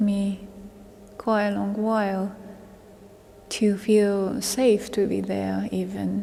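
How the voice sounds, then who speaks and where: Speaking very slowly with a Japanese accent, a woman keeps her delivery monotone and flat. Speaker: vocal musician. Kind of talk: interview. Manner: halting.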